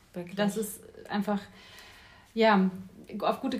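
A somewhat breathy woman's voice of medium pitch, monotone and flat in intonation, at a fairly slow pace. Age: 30s. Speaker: life coach. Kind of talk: casual chat. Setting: kitchen.

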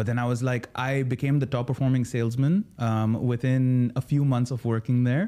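With a dark, mellow tone and medium pitch, a man speaks at a moderate pace with very even loudness, fairly even intonation and hardly any pauses, on a very clean recording with a silent background. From UAE (Sharjah), Indian family. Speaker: comedian. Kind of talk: casual chat.

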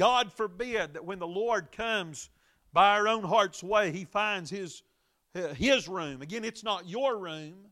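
With a Southern US accent, a man with a high pitch speaks fairly slowly in a raised, projected voice, his bright, sharp tone swinging widely in loudness over a silent background on a very clean recording. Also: ordinary pitch variation. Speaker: Baptist preacher and radio Bible teacher. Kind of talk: Bible study sermon broadcast. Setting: church auditorium live broadcast. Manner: frequent filler words, preacherly.

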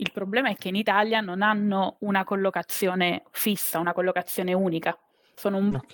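A woman speaks in an ordinary speaking voice at medium pitch and a fairly quick pace, with fairly even intonation and a dry, close sound with no echo. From Abruzzo, Italy (Teramo). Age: 30s. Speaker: biologist turned corporate employee. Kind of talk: interview. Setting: live stream.

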